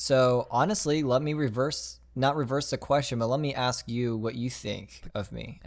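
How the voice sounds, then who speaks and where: A man with an American accent has an ordinary speaking voice, with medium pitch and ordinary pitch variation. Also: moderate pace. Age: young. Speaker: podcast co-host and videographer. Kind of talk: casual chat.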